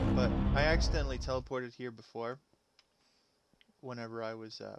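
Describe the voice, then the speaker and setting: A soft-spoken man talks fairly quickly with big swings in loudness, music playing in the background. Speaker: gaming streamer. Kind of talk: live gameplay commentary. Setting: live stream. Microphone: mic maxed out on settings, quiet.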